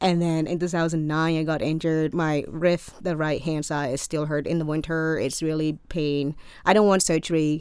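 A woman in a Cambodian accent, very deep and low in pitch, monotone and flat, at a moderate pace with hardly any pauses. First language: Khmer. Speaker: college student. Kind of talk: casual interview.

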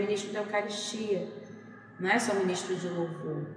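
A medium-pitched woman's voice amid noticeable background noise and audible room echo. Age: 30s. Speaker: parish worship ministry singer. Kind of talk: interview.

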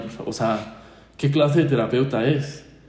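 Audible room echo around a man's medium-pitched voice, moving at a fairly quick pace with ordinary pitch variation. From Mexico, San Luis Potosí. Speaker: podcast guest. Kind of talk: testimony.

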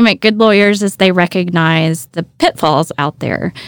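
In a normal speaking voice, a woman with an American accent talks at a moderate pace and medium pitch with ordinary pitch variation, her dry, close sound free of echo on a very clean recording with a silent background. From Deep East Texas. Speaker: attorney. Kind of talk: interview conversation. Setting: recording studio.

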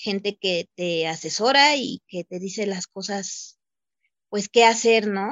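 A plain, everyday voice speaking at a fairly slow pace. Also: woman. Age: 30s. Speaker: domestic worker. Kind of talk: testimony.

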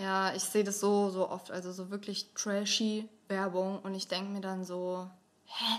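A woman at a medium pitch and fairly slow pace, with monotone, flat intonation. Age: 20s. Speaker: influencer and student. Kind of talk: casual chat.

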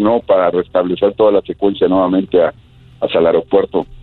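A man rattles off his words at a very fast pace while music plays in the background. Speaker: air traffic controller. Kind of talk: interview.

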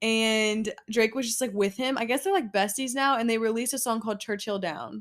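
In a very clean recording with a silent background, a woman with an unremarkable speaking voice talks at a fairly quick pace with a fairly high pitch, ordinary pitch variation and hardly any pauses. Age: 20s. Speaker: podcast co-host. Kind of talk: casual chat. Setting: home bedroom. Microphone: new microphone, only one working.

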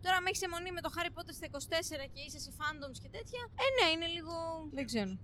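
Projecting a raised voice, a woman with a high pitch talks at a very fast pace with very wide pitch swings. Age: 30s. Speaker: psychology student and podcast co-host. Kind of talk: casual chat.

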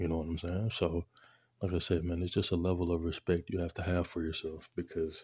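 Against a quiet background, a man speaks at a very deep, low pitch, somewhat breathy, in a monotone, flat intonation. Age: 20s. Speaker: podcast host. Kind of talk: casual monologue. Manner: casual, filler-heavy.

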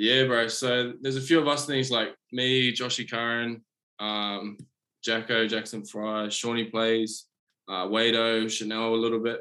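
Speaking in a New Zealand accent, a man talks at a fairly slow pace with monotone, flat intonation. His voice sits at medium pitch with a bright, sharp tone. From New Zealand, Auckland. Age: 20s. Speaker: rugby league player. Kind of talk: casual interview. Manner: halting.

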